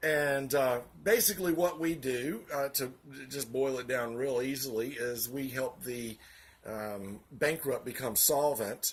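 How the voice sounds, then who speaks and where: This man talks in a Southern US accent. His pace is fairly slow and his pitch varies an ordinary amount. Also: medium pitch for a man. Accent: Southern US (Georgia). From US South, Augusta, Georgia. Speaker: vlogger, financial office worker. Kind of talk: political commentary monologue. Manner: hesitant, many fillers.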